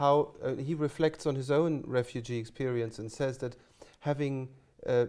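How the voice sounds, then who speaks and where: Here a man with a German accent talks at a moderate pace in a medium pitch, his tone dark and mellow and his intonation fairly even. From Germany. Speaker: music college teacher and interviewer. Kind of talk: oral history interview. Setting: interview room at a music college. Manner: halting, many false starts.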